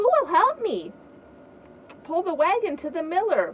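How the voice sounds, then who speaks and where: In a put-on character voice, a woman speaks at an extremely high pitch and a moderate pace. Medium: read story.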